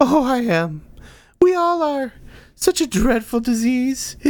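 A man's put-on character voice, wheezy and extremely high, with very wide pitch swings and a fairly slow pace. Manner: dreadful, suffering.

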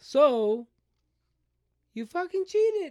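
Dry and close with no echo, this man's extremely high voice makes very wide pitch swings. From US, Mexican-American family. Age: 30s. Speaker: baseball player. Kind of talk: casual chat.

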